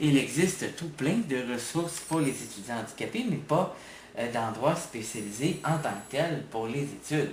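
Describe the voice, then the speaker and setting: A man speaks with a Quebec accent at a fairly slow pace, his pitch fairly high and intonation lively. Audible room echo and noticeable background noise fill the recording. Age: 20s. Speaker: university student. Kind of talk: testimony.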